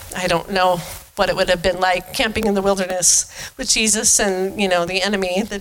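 Moderately paced speech from a woman of medium pitch, with fairly even intonation and music in the background. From eastern Washington, US. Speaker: pastor's wife giving a sermon. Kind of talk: sermon. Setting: church.

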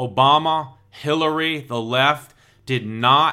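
A man's normal speaking voice with an American accent, fairly high in pitch, with ordinary pitch variation. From United States. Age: 50s. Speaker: political podcast host. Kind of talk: solo political commentary.

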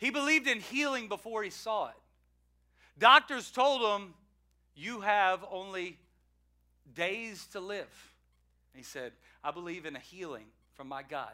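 With a raised, projected voice, a man speaks at high pitch in a bright, sharp tone, with very wide pitch swings and long, frequent pauses, on a very clean recording with a silent background. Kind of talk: eulogy. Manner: solemn, tender, warmly reverent, like a pastor remembering a friend; measured preaching cadence with repeated 'He was a man'.

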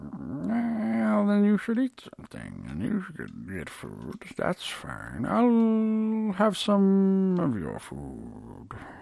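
Someone does a put-on character voice with a low-to-middle pitch, going at a very slow pace with hardly any pauses. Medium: actual play. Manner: terse, flat; unsettling.

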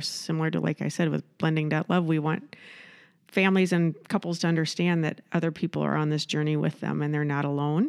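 A woman speaks with an American accent at a fairly low pitch. She has a plain, everyday voice. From Iowa. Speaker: entrepreneur and nonprofit founder. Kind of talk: casual interview.

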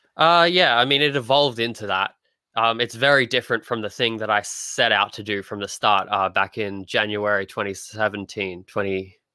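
A man with an Australian accent speaks at a fairly low pitch and a moderate pace, with ordinary pitch variation. The recording is very clean, with a silent background. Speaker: comic artist. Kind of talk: casual interview chat.

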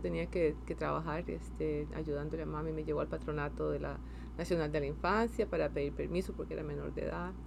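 A woman talking at a fairly quick pace with hardly any pauses, in audible room echo. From Costa Rica, San José. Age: 50s. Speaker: space agency science director. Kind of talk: interview.

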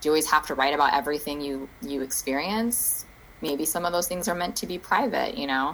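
Lively intonation at a fairly quick pace, with an American accent. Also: woman, very deep, low pitch for a woman. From Phoenix, Arizona. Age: 30s. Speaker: writer and poet. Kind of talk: casual chat.

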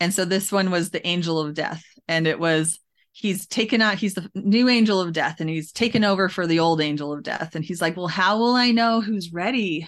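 A woman speaks at a fairly quick pace and medium pitch, with ordinary pitch variation. It's an ordinary speaking voice over a quiet background. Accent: Canadian. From Canada (Alberta, Edmonton area). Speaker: author. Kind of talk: interview.

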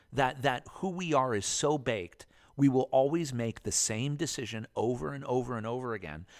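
A man with a plain, everyday voice talks at a moderate pace and a medium pitch, his intonation lively. The recording is very clean, with a silent background. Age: 40s. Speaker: film club founder. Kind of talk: casual chat. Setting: recording at his movie club venue.

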